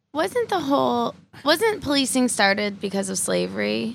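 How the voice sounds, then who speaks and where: Moderately paced speech by a woman, on a very clean recording with a silent background. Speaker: comedian. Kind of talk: casual panel chat.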